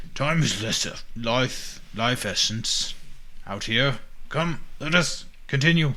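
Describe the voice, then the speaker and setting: Over clear background noise, a man uses a put-on character voice at medium pitch, moving at a fairly slow pace with long, frequent pauses. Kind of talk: archaic, formal. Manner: urgent, commanding.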